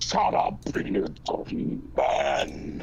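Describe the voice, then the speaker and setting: A man does a put-on character voice that is raspy and booming. Clear background noise can be heard behind him. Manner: intimidating, commanding.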